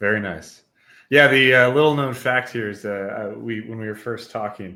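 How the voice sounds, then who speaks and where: On a very clean recording with a silent background, a man speaks at a medium pitch and a moderate pace. His loudness swings widely while his pitch varies in an ordinary way. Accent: American. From US Midwest, Wisconsin. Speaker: podcast host. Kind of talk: interview podcast. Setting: live stream.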